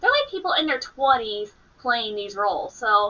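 Her pitch leaps across a very wide range. This woman talks fairly slowly. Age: 30s. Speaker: anime reaction youtuber. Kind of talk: casual reaction commentary. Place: home room. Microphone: webcam.

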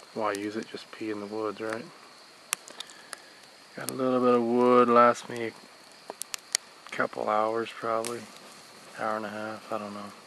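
A man's monotone, flat delivery at a fairly slow pace, with long, frequent pauses, dry sound with no echo and light background noise. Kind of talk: casual vlog chat. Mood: calm, relaxed. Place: forest. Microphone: phone near.

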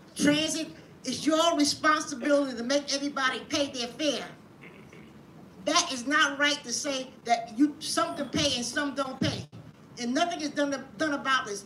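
With an American accent, a woman speaks at a moderate pace in a high pitch with a bright, sharp tone. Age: 80s+. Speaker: public commenter. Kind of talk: public hearing testimony. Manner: animated.

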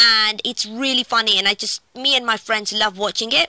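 Against a quiet background, a woman talks at a moderate pace with fairly even intonation and a dry sound with no echo. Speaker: app reviewer. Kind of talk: casual vlog chat. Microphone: phone near.

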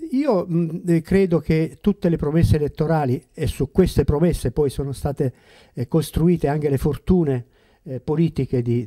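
A man's fairly high-pitched voice with a dark, mellow tone, over a quiet background. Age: old. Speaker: retired school principal, former councillor; former councillor. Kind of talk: panel discussion. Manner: halting. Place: shop. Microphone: handheld.

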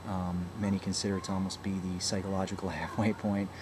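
A man's fairly low voice at a moderate pace, with noticeable background noise. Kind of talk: casual vlog chat. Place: home room. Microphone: webcam.

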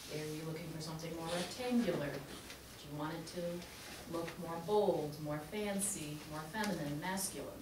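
Noticeable background noise sits behind a woman whose fairly low voice has ordinary pitch variation. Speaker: guest. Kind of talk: classroom guest talk. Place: classroom. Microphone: camera far.

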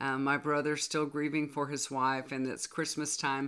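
Low-pitched and fairly bright, this woman's voice moves at a moderate pace with little pitch movement.

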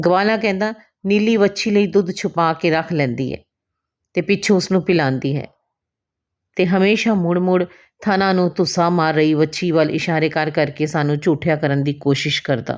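Recorded very cleanly against a silent background, a woman speaks at a fairly low pitch with ordinary pitch variation in a plain, everyday voice. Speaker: Punjabi teacher, former radio anchor. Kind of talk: short story reading.

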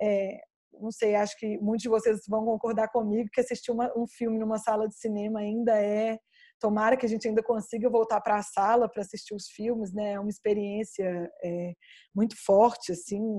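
With a strong Minas Gerais accent, a woman talks at a fairly quick pace in a monotone, flat intonation against a quiet background. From Minas Gerais, Brazil. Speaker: film researcher and curator. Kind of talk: online talk with Q&A. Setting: video call. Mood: reflective, engaged. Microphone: video call.

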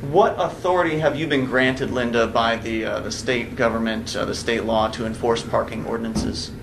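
Over noticeable background noise, a man talks at a fairly quick pace with hardly any pauses. His pitch is medium, with ordinary variation. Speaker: activist defendant; witness. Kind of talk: courtroom testimony. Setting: courtroom. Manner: formal. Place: hall. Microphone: camera far.

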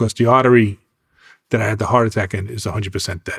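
Flat and monotone, a man talks at a fairly slow pace in a somewhat breathy voice. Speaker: music executive and artist manager. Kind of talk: interview. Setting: studio.

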